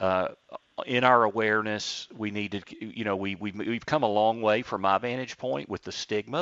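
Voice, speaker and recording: With a plain, everyday voice, a man talks at a moderate pace in a fairly low pitch with ordinary pitch variation. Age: 50s. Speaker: radio host and financial advisor. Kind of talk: radio interview. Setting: studio.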